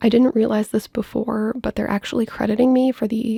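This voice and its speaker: Speaking at a fairly quick pace, a woman has a fairly high, somewhat breathy voice with a dark, mellow tone. Her intonation is fairly even, and the sound is dry and close with no echo. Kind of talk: casual personal finance vlog talk to camera. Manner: quiet, lowered volume.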